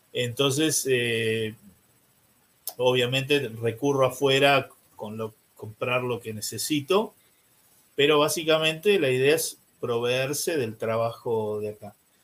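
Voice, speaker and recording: Very slowly, a man speaks at medium pitch with ordinary pitch variation and long, frequent pauses. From Argentina, Buenos Aires. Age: 60s. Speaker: priest. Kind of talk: interview.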